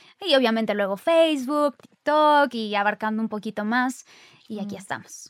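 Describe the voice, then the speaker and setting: A woman speaks at a moderate pace in a plain, everyday voice, fairly high in pitch with ordinary pitch variation. The sound is dry and close, with no echo. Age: 20s. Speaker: actress and influencer. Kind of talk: casual chat.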